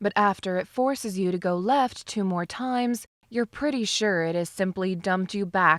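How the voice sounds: The speaker uses a natural reading voice with ordinary pitch variation.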